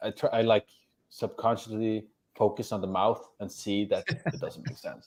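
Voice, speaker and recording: Medium in pitch, a man talks in a Norwegian accent. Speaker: actor and social media personality. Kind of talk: casual chat. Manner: halting.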